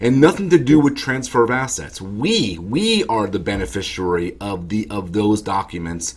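With a normal speaking voice, a man talks at a moderate pace, his fairly low pitch shaped by lively intonation. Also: hardly any pauses. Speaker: estate planning attorney. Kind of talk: explanatory talk to camera. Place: office. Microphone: webcam.

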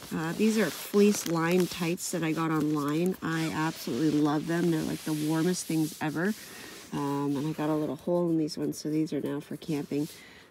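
The voice has a slightly mellow tone, moving at a moderate pace with few pauses and fairly even intonation. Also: woman, low pitch for a woman.

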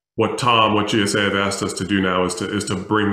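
A man talks at a moderate pace with fairly low pitch. His delivery is a flat monotone, and room echo can be heard. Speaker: panel moderator. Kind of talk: panel moderation intro. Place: home room. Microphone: video call.

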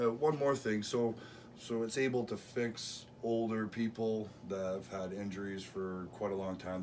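A man's fairly even intonation over light background noise. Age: 40s. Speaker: arm wrestler and vlogger. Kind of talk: vlog narration; casual interview chat. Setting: outdoors in a park. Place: home room. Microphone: camera far.

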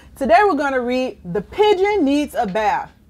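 With high pitch and big pitch swings, a woman speaks in a slightly mellow tone. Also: moderate pace.

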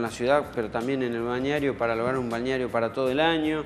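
A man's voice holds fairly even intonation over light background noise. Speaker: guest. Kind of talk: interview answer. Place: studio.

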